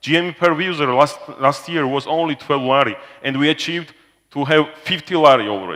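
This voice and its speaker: A man with a Georgian accent, fairly high in pitch, at a fairly quick pace. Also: ordinary pitch variation. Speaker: business executive presenting to investors. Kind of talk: corporate presentation. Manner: loud; halting, with fillers.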